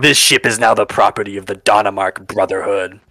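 A man puts on a character voice, fairly low in pitch, that bellows, cackles and growls. He delivers it at a fairly quick pace. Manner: cackling, roaring.

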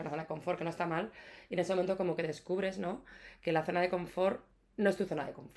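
A woman's fairly low voice, very fast, with fairly even intonation. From Spain, Castilla-La Mancha (Ciudad Real). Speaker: plant shop founder. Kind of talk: casual interview. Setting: sitting on host's sofa.

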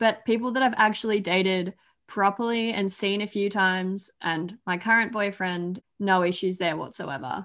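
A woman speaks with an Australian accent at a moderate pace and fairly even intonation. The background is quiet. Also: medium pitch for a woman. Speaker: YouTuber and podcaster. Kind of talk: casual chat.

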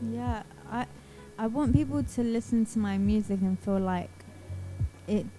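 In a London accent, a woman speaks at a fairly slow pace. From Southeast London, England. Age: 20s. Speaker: singer-songwriter. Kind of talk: radio interview.

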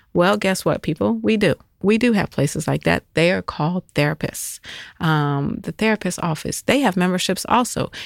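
Lively intonation with vocal fry at a moderate pace, in a dry, close sound with no echo and a very clean recording with a silent background. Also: woman, fairly low pitch for a woman. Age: 40s. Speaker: podcast host. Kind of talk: casual monologue. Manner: hesitant, many fillers.

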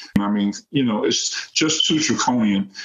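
With an American accent, a man speaks in a normal speaking voice at medium pitch, with ordinary pitch variation and a moderate pace. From New York City (Queens). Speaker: former college basketball player and youth coach. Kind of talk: interview.

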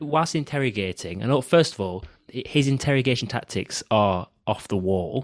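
A man's medium-pitched voice with a northern English accent at a moderate pace, on a very clean recording with a silent background. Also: lively intonation. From northern England. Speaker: film podcast host. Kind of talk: casual chat.

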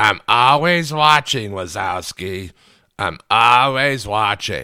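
In a put-on character voice, a man sounds gruff at a medium pitch, speaking at a very slow pace. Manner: stern, watchful.

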